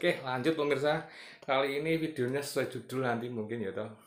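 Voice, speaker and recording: Audible room echo hangs around a man as he talks. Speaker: motorcycle vlogger. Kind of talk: casual vlog talk. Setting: at home. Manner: soft-spoken; hesitant, many fillers.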